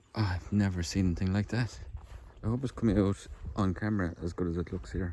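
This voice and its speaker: A man's very deep, low voice, dark and mellow in tone, somewhat breathy, with lively intonation at a moderate pace. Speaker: metal detectorist vlogger. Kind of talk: casual vlog narration. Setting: outdoors.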